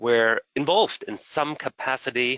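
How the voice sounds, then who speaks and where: A man speaks in a German accent with a bright, sharp tone. His pitch varies in an ordinary way over a quiet background. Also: dry, close sound with no echo. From Germany. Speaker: program director. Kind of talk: webinar presentation.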